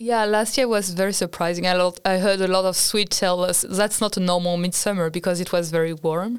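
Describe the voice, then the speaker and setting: A woman talks at a fairly quick pace with hardly any pauses and fairly even intonation. The recording is very clean, with a silent background. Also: medium pitch for a woman, very even loudness. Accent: French. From France. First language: French. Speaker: international student. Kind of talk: casual chat.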